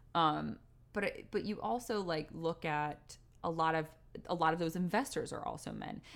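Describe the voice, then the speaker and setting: This woman has vocal fry and a fairly low voice, talking at a moderate pace with ordinary pitch variation. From US Northeast (Westport, Connecticut). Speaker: theater director. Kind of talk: interview.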